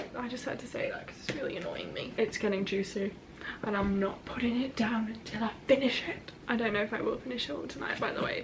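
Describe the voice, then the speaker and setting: A woman talks at a fairly quick pace, fairly high in pitch, with lively intonation. Noticeable background noise and audible room echo are present. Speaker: book vlogger. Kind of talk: casual vlog chat. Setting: at home.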